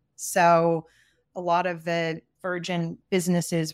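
Recorded dry and close with no echo and a silent background, a woman with a fairly low pitch and an East Coast American accent speaks in a monotone, flat intonation. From US East Coast. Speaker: brand strategist. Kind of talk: casual interview chat.

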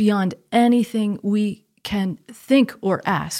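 A woman's medium-pitched, somewhat breathy voice with an American accent and ordinary pitch variation, in a very clean recording with a silent background and a dry, close sound with no echo. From US Northeast, Connecticut. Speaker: theologian. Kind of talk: podcast interview.

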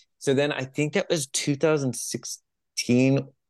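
Speaking very slowly with a Californian accent, a man has a fairly high pitch. The background is quiet, and the sound is dry and close with no echo. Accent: Californian American. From US West Coast, San Jose California. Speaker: spiritual coach and musician. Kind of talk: casual interview.

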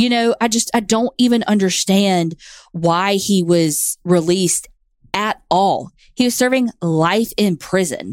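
A woman's medium-pitched voice with a Southern US accent, fairly slow and with ordinary pitch variation, very even in loudness, dry and close with no echo, in a very clean recording with a silent background. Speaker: true crime podcast co-host. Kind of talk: casual storytelling chat.

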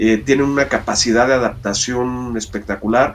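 At a fairly slow pace, a man talks at a medium pitch with fairly even intonation. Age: 50s. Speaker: diver and documentary filmmaker. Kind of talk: interview. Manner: halting.

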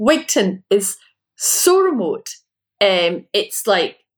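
Her pitch fairly high, a woman speaks in a Scottish accent. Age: 50s. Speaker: novelist. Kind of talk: interview.

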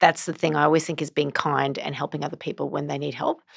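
A woman talks with vocal fry. Her pitch is very deep and low. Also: very clean recording, silent background. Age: 50s. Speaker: business executive and board advisor. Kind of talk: interview.

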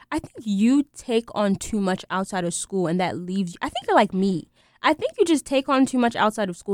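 A woman talks at a fairly quick pace in a medium pitch with ordinary pitch variation. It is an ordinary speaking voice. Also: dry, close sound with no echo. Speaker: student radio co-host. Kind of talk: casual chat.

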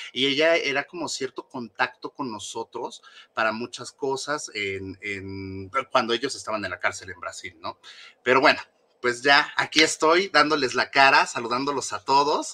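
At a moderate pace, a man talks with fairly high pitch and ordinary pitch variation, the sound dry and close with no echo. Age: 30s. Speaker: former member of a celebrity fan support group. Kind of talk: interview.

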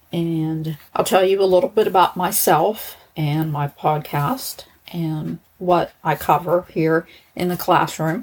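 A woman with an American accent speaks at a very slow pace. Her pitch is fairly low, with ordinary variation. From Pittsburgh, US. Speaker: true crime podcaster, former probation officer.

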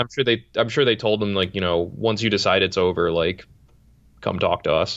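Here a man with an American accent and an unremarkable speaking voice talks at a fairly low pitch and a moderate pace, with ordinary pitch variation and very even loudness. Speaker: baseball writer. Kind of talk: casual chat.

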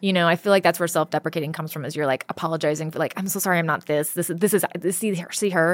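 With an American accent, a woman talks at a very fast pace with hardly any pauses. Her pitch is fairly low and her intonation fairly even, in a very clean recording with a silent background. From California. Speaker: comedian. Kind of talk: casual chat.

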